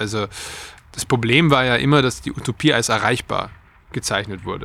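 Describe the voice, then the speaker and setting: A man speaks at a moderate pace with a bright, sharp tone. Vocal fry runs through his voice. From Austria. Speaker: trend and futures researcher. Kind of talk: interview.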